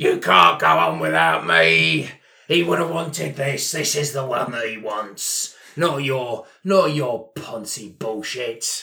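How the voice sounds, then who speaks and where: Putting on a character voice, a man speaks at a fairly slow pace from a medium pitch, his pitch swinging very widely. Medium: actual play. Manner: angry, belligerent, swearing.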